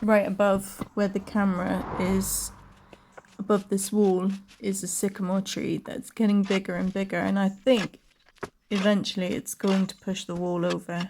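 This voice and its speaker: A woman's medium-pitched voice with a British accent, at a moderate pace and in a flat monotone. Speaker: video blogger. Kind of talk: voice-over narration. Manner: casual, chatty.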